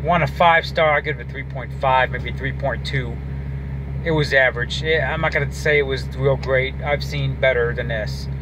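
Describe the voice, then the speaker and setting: A man talks at a fairly slow pace with hardly any pauses. Noticeable background noise can be heard. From Detroit, Michigan. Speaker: vlogger, movie reviewer; movie reviewer. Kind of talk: casual monologue review. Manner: rambling, hesitant with fillers. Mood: critical, mildly exasperated. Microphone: phone near.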